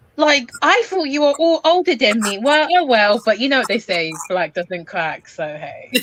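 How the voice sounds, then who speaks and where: Amid noticeable background noise, a high-pitched woman talks at a moderate pace with very wide pitch swings and hardly any pauses. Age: 20s. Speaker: caller on livestream. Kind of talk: casual group chat.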